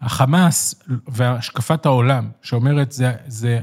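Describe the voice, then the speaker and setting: A man speaks in a somewhat breathy voice. The recording is very clean with a silent background. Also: dry, close sound with no echo. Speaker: left-wing political commentator. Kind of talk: interview. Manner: emphatic.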